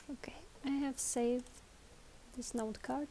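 Speaking with a non-native accent, a woman has a dark, mellow tone. She goes at a fairly slow pace with fairly even intonation. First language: not English. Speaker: tutorial presenter. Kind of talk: tutorial. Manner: slow, careful.

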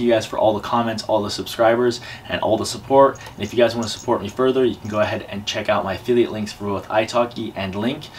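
Light background noise sits under a very fast delivery with hardly any pauses. The intonation stays monotone and flat. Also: man. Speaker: YouTuber learning Spanish. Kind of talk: vlog to camera; language lesson conversation. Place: home room. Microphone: camera far.

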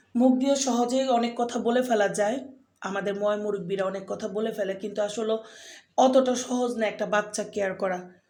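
The tone is dark and mellow, with fairly even intonation. Audible room echo surrounds it. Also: woman, fairly high pitch for a woman. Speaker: vlogger and mother. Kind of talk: casual vlog talk to camera. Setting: at a clinic for a vaccination.

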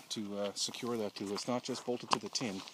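Noticeable background noise accompanies a moderate pace and a monotone, flat intonation, with a dry sound that has no echo. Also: man. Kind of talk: casual walkaround commentary. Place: open country. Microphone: phone near.

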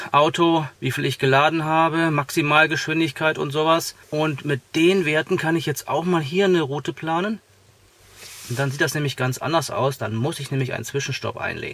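A man talks at a moderate pace with fairly even intonation, the sound dry with no echo. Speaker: car vlogger. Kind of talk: tutorial. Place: car.

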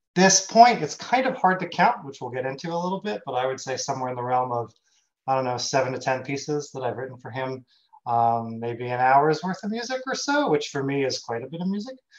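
A man speaks with lively intonation at a fairly quick pace. The background is quiet. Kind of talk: conference presentation. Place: home room.

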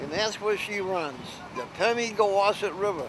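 A man's high voice at a fairly slow pace, dry with no echo, over noticeable background noise. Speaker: local storyteller on boat trip. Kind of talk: casual interview answer. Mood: cheerful, reminiscing. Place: boat. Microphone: phone near.

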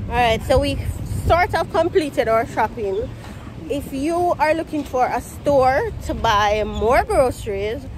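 A speaker with a Jamaican accent talks at a fairly slow pace, the pitch swinging very widely, in a dry recording with no echo and light background noise. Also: woman, high pitch for a woman. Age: 20s. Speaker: vlogger. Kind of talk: casual vlog talk to camera. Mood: cheerful, relaxed. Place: street. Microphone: phone near.

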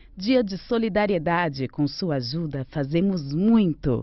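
Speaking at a very slow pace with very wide pitch swings, a woman is heard in a dry sound with no echo against a quiet background. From Brazil. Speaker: radio announcer. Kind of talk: radio commercial read. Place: studio.

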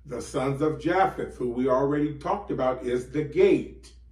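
A man talks at a fairly slow pace. There is audible room echo against a quiet background. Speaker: bible teacher. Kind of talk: sermon. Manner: animated. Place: home room. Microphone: camera far.

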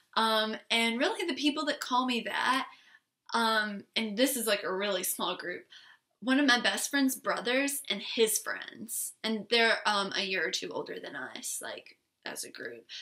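An animated woman with an American accent at a fairly slow pace, ordinary pitch variation, big swings in loudness, and a quiet background. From South Carolina. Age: young. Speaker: beauty vlogger. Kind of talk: casual vlog monologue. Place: home room. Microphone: webcam.

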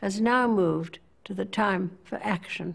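A woman speaks with vocal fry at a fairly slow pace against a quiet background. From England. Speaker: monarch. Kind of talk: formal address to a conference. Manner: slow, measured. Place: home room.

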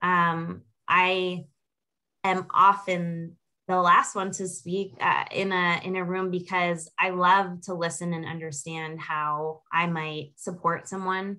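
With an American accent, a woman speaks at a fairly low pitch in a bright, sharp tone. Her delivery is very slow and monotone, flat in intonation, on a very clean recording with a silent background. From upstate New York. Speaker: food and beverage consultant. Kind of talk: panel discussion.

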